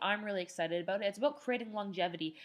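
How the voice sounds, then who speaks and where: This woman talks very fast at a medium pitch. Her pitch varies in an ordinary way. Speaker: online marketing course instructor. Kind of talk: webinar. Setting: live online webinar.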